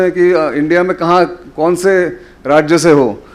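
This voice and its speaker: A man is speaking. He has a Marathi accent. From Maharashtra, India. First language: Marathi (speaking Hindi). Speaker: journalist and defence analyst. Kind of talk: public lecture. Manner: hesitant, many fillers.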